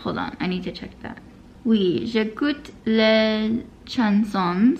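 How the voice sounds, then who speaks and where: A woman talks very slowly in a fairly high, somewhat breathy voice. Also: ordinary pitch variation. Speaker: language learning vlogger. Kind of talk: casual vlog. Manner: halting when speaking French.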